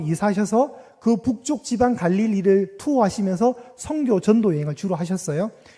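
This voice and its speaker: The man speaking has a high-pitched voice and lively intonation. His pace is moderate. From Gyeongsang province, South Korea. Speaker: pastor. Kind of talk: sermon. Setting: church. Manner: interactive, asks congregation questions.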